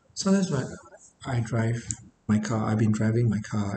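Audible room echo around a male speaker, plus light background noise. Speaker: private tutor. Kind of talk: reflective talk to camera. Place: home room. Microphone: webcam.

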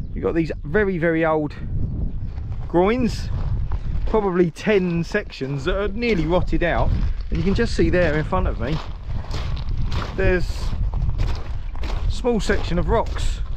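Fairly slow speech with long, frequent pauses, a dry sound with no echo and noticeable background noise. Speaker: channel host. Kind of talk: casual vlog chat. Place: beach. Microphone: phone near.

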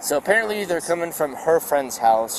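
Over noticeable background noise, a man talks at a fairly quick pace with ordinary pitch variation in a dry sound with no echo. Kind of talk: briefing a colleague. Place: street. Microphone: lapel.

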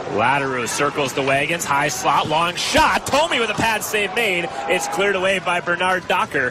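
A man talks at a moderate pace with a high pitch, lively intonation, very even loudness and hardly any pauses. The sound is dry with no echo, though background noise is noticeable. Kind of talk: live commentary. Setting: arena broadcast. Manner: excitable on goals. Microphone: headset.

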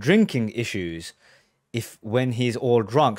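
The man's voice comes through a quiet background with a dry sound and no echo. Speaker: music reaction creator. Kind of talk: commentary. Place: home room. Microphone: studio mic.

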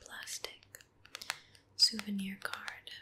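A woman whispers at a very slow pace. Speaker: ASMR creator. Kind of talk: ASMR soft-spoken chat. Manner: soft-spoken. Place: home room.

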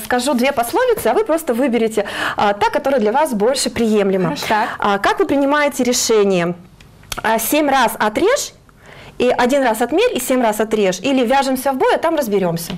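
The voice moves at a fairly quick pace with very wide pitch swings, yet its loudness stays very even. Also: woman. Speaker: career guidance specialist; guest, psychologist or trainer. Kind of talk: morning TV interview. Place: studio. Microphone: lapel.

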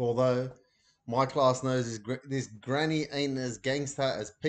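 The text comes through in a natural reading voice.

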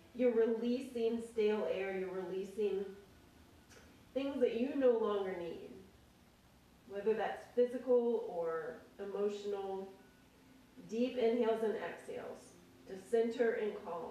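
With audible room echo, a woman speaks with ordinary pitch variation. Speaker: yoga instructor. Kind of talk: guided yoga class. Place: home room. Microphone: camera far.

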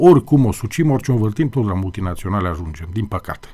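Against a quiet background, a man with a dark, mellow tone and fairly low pitch speaks at a very fast pace with very wide pitch swings. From Romania. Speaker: TV host. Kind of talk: interview discussion on TV. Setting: TV studio. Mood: earnest, critical. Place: studio. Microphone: studio mic.

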